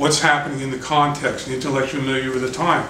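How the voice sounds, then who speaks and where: A man's fairly high voice at a fairly quick pace, with audible room echo and noticeable background noise. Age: 60s. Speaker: artist. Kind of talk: interview. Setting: his apartment.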